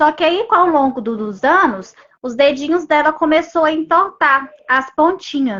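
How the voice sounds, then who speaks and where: Her intonation lively, a woman is speaking. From Brazil, Goiânia. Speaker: mother of a patient. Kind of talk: testimony.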